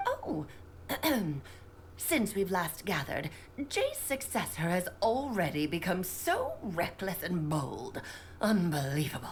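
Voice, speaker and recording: A woman in a put-on character voice at a fairly slow pace, with long, frequent pauses and clear background noise. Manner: haughty, scolding.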